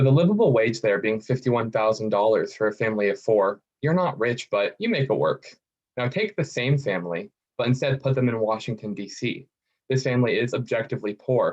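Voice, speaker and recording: This man talks at a fairly quick pace with lively intonation. He has an ordinary speaking voice at a medium pitch. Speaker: student researcher. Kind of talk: competition pitch. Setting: video call.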